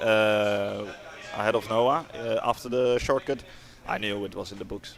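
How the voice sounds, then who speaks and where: Over music in the background, a man speaks with fairly even intonation. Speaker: kart racer. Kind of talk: interview. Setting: commentary booth. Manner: loud; halting.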